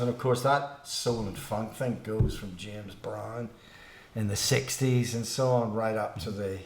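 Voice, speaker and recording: A man speaks at a moderate pace in a medium pitch, his voice somewhat breathy, with audible echo from the room. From Northern Ireland, Belfast. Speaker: musician. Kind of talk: casual chat. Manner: halting.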